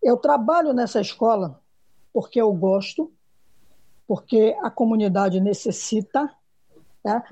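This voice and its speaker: A woman speaks fairly slowly in a dark, mellow, somewhat breathy tone, fairly high-pitched and with ordinary pitch variation. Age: 50s. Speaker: schoolteacher. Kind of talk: panel discussion.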